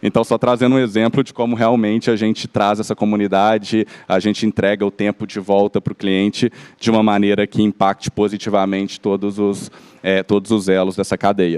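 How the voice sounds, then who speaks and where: Speaking at a fairly quick pace in a Minas Gerais accent, a man keeps a fairly low pitch and monotone, flat intonation. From Minas Gerais, Belo Horizonte. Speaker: company executive. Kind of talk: panel discussion. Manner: halting.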